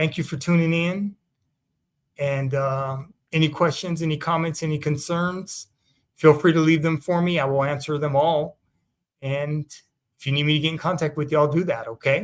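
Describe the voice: A man at a fairly high pitch and moderate pace, with ordinary pitch variation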